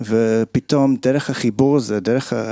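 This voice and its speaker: In an English accent, a man speaks at a very slow pace with medium pitch and a dark, mellow tone, the sound dry and close with no echo. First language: English (speaking Hebrew). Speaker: kabbalah group founder. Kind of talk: personal testimony. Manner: halting.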